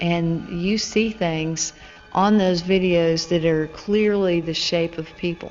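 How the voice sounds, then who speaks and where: Over music in the background, a woman speaks very slowly in a fairly low, monotone voice with flat intonation. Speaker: hotel sales manager. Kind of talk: interview answer.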